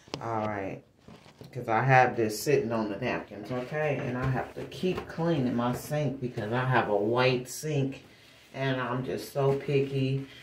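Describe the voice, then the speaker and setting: A fairly slow pace with audible room echo and light background noise. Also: woman, very deep, low pitch for a woman, ordinary pitch variation. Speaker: vlogger. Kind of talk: casual vlog chat. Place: bathroom. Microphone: phone near.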